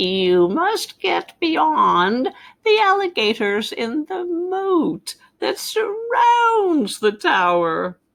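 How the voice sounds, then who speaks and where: In a put-on character voice, a woman cackles at an extremely high pitch and a very slow pace. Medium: read story. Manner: cackling.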